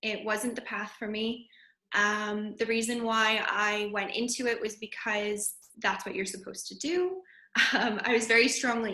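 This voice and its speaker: A woman with a Canadian accent, a fairly high pitch, a moderate pace, and an ordinary speaking voice. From Canada, Calgary. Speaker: yoga teacher. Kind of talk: interview.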